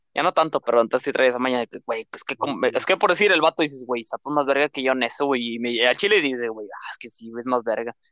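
Very fast and bright, sharp in tone, a man's medium-pitched voice moves with ordinary pitch variation in a dry, close sound with no echo. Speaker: podcast co-host. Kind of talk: casual chat.

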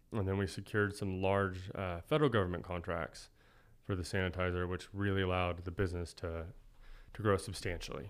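A man with a very deep, low pitch, fairly quick pace and fairly even intonation, in a very clean recording against a silent background. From Oklahoma City. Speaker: chef and restaurateur. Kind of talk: casual interview.

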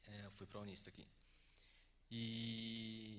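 A man is speaking. Room echo can be heard. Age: 20s. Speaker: filmmaker. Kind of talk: lecture. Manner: halting.

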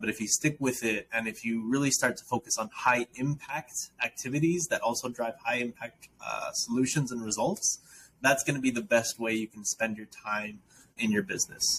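An unremarkable speaking voice from a man with an American accent, medium pitch and ordinary pitch variation, at a moderate pace in a dry, close sound with no echo. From South Dakota, US. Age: 20s. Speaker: founder and nonprofit director. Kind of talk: interview conversation. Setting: remote call.

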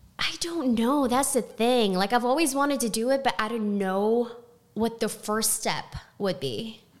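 Noticeable background noise sits behind a woman speaking at a fairly slow pace. Her pitch is fairly high. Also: ordinary pitch variation. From Texas, Houston. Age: 20s. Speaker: restaurant server. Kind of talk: interview. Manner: halting.

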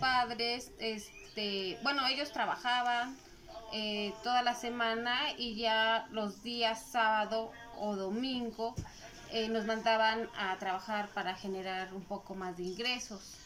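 A woman talks at a very slow pace with a fairly high pitch and fairly even intonation. Noticeable background noise runs underneath. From Mexico, Puebla. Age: 40s. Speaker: clothing vendor. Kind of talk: interview. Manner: halting.

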